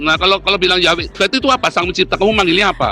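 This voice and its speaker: An animated man talking at a very fast pace over noticeable background noise. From Netherlands. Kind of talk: heated debate. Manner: animated, interrupting.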